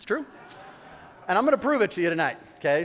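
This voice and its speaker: An animated tone marks this man's speech. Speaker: mayor. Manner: fast.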